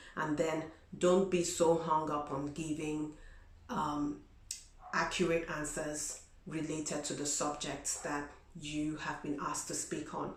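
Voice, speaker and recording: A woman with a non-native accent speaks at a fairly slow pace in a very deep, low pitch. Her intonation is monotone and flat, and audible room echo surrounds her voice. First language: not English. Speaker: vlogger. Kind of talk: advice vlog. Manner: conversational, many fillers.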